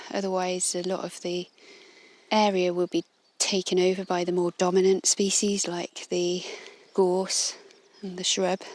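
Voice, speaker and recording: A woman at a medium pitch, fairly slow with long, frequent pauses and monotone, flat intonation. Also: dry, close sound with no echo. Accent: English. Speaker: illustrator and podcaster. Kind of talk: walking nature narration. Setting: outdoors on a coastal walk. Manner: gentle, calm.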